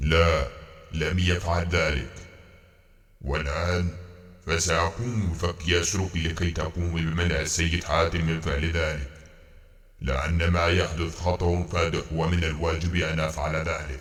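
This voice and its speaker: A man puts on a character voice, very deep and low. He speaks at a very slow pace. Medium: audio drama. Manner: formal, stiff classical Arabic.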